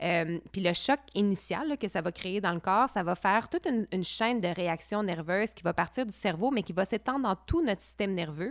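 Recorded very cleanly against a silent background, with a dry, close sound and no echo, a woman of medium pitch speaks at a fairly quick pace with lively intonation. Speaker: podcast co-host. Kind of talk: casual chat. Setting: in a chalet. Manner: calm.

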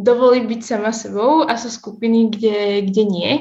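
With fairly even intonation and a moderate pace, a woman talks in a somewhat breathy voice pitched fairly high. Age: young. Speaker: university student. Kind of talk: casual interview. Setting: video call.

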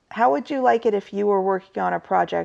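A woman is speaking. The background is quiet. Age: 30s. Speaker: podcast co-host. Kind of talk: casual chat. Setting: friend's house, away from usual studio.

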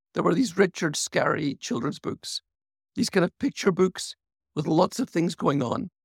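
With a British accent and a high pitch, a man speaks at a moderate pace with lively intonation in a dry, close sound with no echo. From UK. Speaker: architect and author. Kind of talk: interview.

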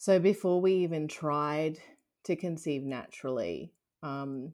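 A woman with an Australian accent at a fairly slow pace, ordinary pitch variation, on a very clean recording with a silent background. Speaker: IVF patient sharing her story. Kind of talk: interview, personal testimony.

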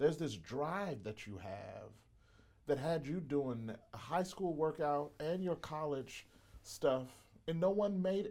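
A man with a Southern US accent speaks at a very slow pace, his pitch fairly high. His tone is dark and mellow, with lively intonation. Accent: Southern American. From US South, Mississippi. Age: 40s. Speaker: podcast host and pastor. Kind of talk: interview. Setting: studio.

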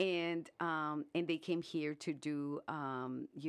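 A woman's very deep, low voice with an American accent against a quiet background. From US South, Brownsville, Texas on the Mexican border. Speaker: artist. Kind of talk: radio interview. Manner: halting, many fillers.

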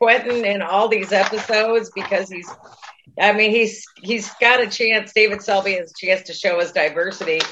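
This woman has an unremarkable speaking voice. Her pitch sits fairly high and her intonation stays fairly even. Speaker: podcast co-host. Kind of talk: casual chat.

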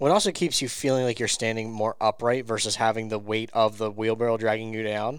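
A man with an ordinary speaking voice talks with fairly even intonation and hardly any pauses. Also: medium pitch for a man, fairly quick pace. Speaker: co-host, company CTO. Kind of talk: casual chat.

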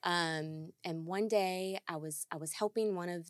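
On a very clean recording with a silent background, a woman speaks in a normal speaking voice, fairly low in pitch, with fairly even intonation. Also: dry, close sound with no echo. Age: 30s. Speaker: widow sharing grief story. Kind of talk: interview conversation.

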